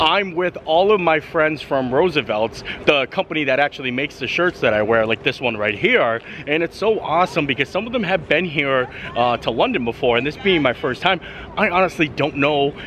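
Over light background noise, a man talks at a fairly quick pace, the sound dry with no echo. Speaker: travel vlogger. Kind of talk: casual vlog chat. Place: street. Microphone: phone near.

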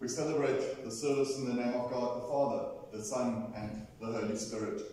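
Strong room echo surrounds a man speaking at a moderate pace with ordinary pitch variation. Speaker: minister leading a service. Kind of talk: liturgical address to congregation. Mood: solemn, memorial. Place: church.

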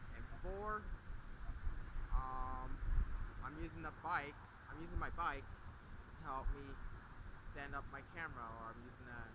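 A man speaks at a fairly slow pace, with long, frequent pauses. Noticeable background noise sits behind him. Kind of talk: casual vlog chat. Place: open country.

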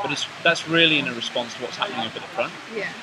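A man speaks at a very fast pace with noticeable background noise behind him. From UK. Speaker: swim coach. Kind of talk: video stroke analysis.

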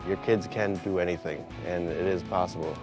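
In an American accent, a man talks with a very deep, low pitch, the sound dry with no echo and clear music playing behind him. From Minnesota, USA. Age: young. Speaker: college student. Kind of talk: interview answer. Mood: earnest, encouraging.

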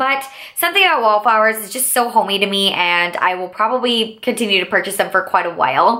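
A woman speaks very fast in a fairly high voice, against a quiet background. Her loudness swings widely from moment to moment. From Texas, Houston. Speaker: beauty YouTuber. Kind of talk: product haul review. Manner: animated. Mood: enthusiastic, warm. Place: home room.

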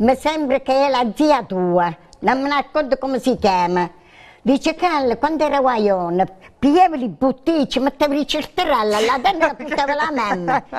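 The speech has an Abruzzese accent and lively intonation at a moderate pace. The background is quiet. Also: woman, high pitch for a woman. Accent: Abruzzo dialect-tinged Italian. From Abruzzo. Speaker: regular studio guest storyteller; guest. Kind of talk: casual chat. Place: studio. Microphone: lapel.

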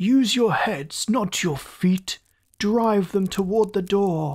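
In a put-on character voice, a female-sounding speaker shouts at a very slow pace and a middle pitch. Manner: raging, shouting orders.

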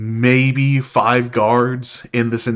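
An unforced reading voice carries the text.

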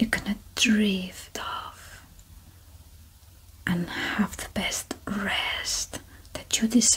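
Whispering at a very slow pace, the voice has long, frequent pauses and big swings in loudness. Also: woman. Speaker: relaxation guide. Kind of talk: sleep relaxation guidance. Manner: slow, calm. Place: home room. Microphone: studio mic.

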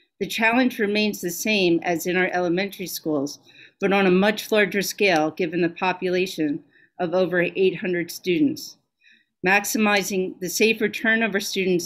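A woman speaks at a moderate speed, her pitch varying in an ordinary way, with little else audible behind her. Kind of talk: formal report to a board meeting. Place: home room.

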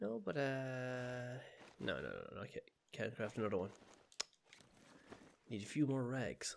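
A man speaks at a fairly slow pace with long, frequent pauses and ordinary pitch variation. Light background noise is present. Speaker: gaming video creator; gaming youtuber. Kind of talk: let's play gameplay commentary. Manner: animated.

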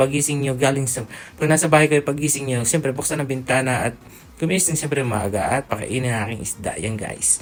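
A man talks at a fairly quick pace with a medium pitch and ordinary pitch variation, with noticeable background noise. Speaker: vlogger. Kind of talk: travel vlog narration. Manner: casual.

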